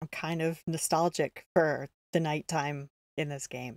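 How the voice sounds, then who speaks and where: A soft-spoken woman with a very deep, low pitch talks fairly slowly in a flat monotone, with dry, close sound and no echo. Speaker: game streamer. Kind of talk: gameplay stream chat.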